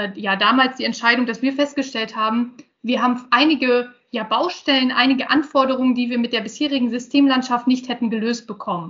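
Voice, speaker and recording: A woman with a high-pitched voice talks at a fairly quick pace. Her intonation stays fairly even. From northern Germany, Osnabrück region. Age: 30s. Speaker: IT project manager. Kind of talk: interview. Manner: hesitant, many fillers.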